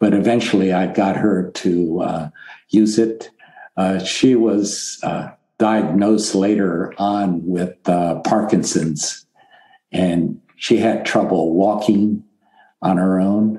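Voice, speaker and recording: Very slowly, a man speaks at a fairly low pitch with fairly even intonation. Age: 70s. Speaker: podcast guest, retiree. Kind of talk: interview testimony. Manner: halting, many fillers.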